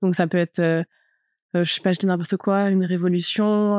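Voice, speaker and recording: This woman talks in a fairly low pitch. Her delivery is monotone and flat. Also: dry, close sound with no echo. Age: 30s. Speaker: fashion stylist. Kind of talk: personal testimony. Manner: casual, hesitant with fillers.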